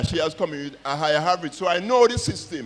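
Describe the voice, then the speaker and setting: Very fast speech with lively intonation comes through noticeable background noise. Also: man. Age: 60s. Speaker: school principal. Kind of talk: panel discussion.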